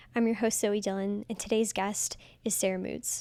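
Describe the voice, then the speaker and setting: Over a silent background on a very clean recording, a woman uses an ordinary speaking voice at a fairly high pitch, a moderate pace and fairly even intonation. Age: 20s. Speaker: podcast host. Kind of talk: podcast intro.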